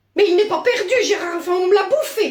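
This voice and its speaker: The voice is a put-on character voice pitched extremely high. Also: fairly quick pace. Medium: voice reel. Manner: exasperated.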